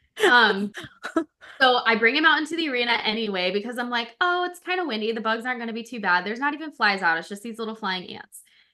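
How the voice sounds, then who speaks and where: An animated, bright and sharp voice at a very fast pace, with lively intonation against a quiet background. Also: woman, fairly high pitch for a woman, big swings in loudness. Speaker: life coach for pets and podcast co-host. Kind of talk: casual chat. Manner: loud.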